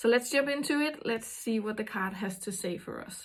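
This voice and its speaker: A somewhat breathy woman in a Danish accent, with fairly high pitch and ordinary pitch variation. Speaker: intuitive card reader. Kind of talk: card reading monologue. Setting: small house with door open. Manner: halting, many fillers.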